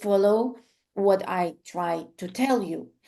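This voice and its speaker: A woman with a non-native accent and a dark, mellow tone, at a very slow pace with ordinary pitch variation over a quiet background. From Ukraine. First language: Ukrainian or Russian. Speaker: art therapy instructor and coach. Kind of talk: online class introduction. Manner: hesitant, many fillers.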